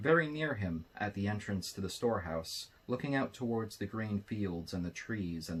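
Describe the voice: Lively intonation marks this plain reading aloud.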